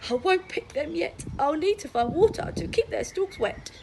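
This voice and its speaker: A woman puts on a character voice at an extremely high pitch with very wide pitch swings, speaking at a moderate pace against clear background noise. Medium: read story.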